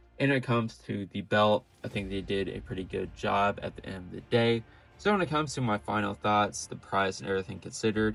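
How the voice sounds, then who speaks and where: A man talks with hardly any pauses in a plain, everyday voice. His pitch is fairly low, with ordinary variation. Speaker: toy reviewer. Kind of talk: product review. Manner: casual, with fillers.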